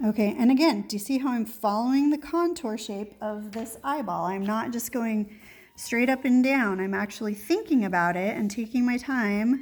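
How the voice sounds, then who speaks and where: A woman with an ordinary speaking voice, fairly high pitch, ordinary pitch variation, moderate pace and hardly any pauses. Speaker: art teacher. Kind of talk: tutorial.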